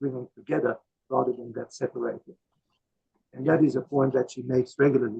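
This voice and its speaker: This is a man speaking. The sound is dry and close, with no echo. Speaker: invited speaker on philosophy. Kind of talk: Q&A discussion after lecture. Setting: video call. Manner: hesitant. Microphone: poor microphone setup, hard to hear.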